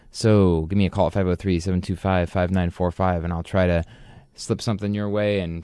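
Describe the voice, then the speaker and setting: With a very deep, low pitch, a man talks in a relaxed tone. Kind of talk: college radio DJ patter: station IDs, back-announcing tracks, plugging the call-in line. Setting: radio studio broadcast. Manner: relaxed, chatty and wry, with filler 'uh/um' and joking self-made titles; casual, enthusiastic punk fan, warm and informal.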